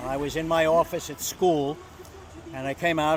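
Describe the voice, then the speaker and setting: Background noise is noticeable as a man speaks at a fairly quick pace. His pitch is fairly high, with ordinary variation. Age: 80s+. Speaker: local resident recalling 9/11. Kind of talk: casual interview, personal recollection.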